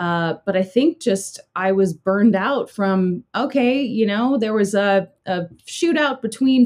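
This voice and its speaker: A woman in an American accent, her pitch swinging very widely. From Southern California. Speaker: YouTuber and former TV anchor. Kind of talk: casual interview.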